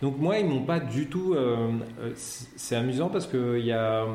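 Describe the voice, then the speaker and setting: A man speaks with lively intonation, and room echo can be heard. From Paris region, France. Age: 40s. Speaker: comic book author. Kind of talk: interview. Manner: halting, repeats words.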